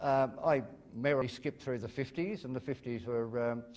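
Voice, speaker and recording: With an Australian accent, the speaker talks at a moderate pace. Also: man. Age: 60s. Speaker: comedian. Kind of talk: lecture. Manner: halting, many ums and uhs.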